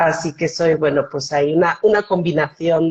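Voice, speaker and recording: Here a woman speaks in a fairly low pitch. Her delivery is fairly slow. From Switzerland, German-speaking part (Bern), Spanish parents. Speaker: foundation director. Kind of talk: interview on live stream. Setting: video call live stream.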